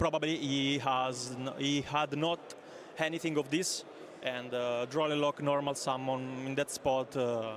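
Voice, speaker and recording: With an Italian accent, the speaker talks at a fairly slow pace with fairly even intonation. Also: man. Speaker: card game tournament player. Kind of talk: interview. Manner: halting, many fillers.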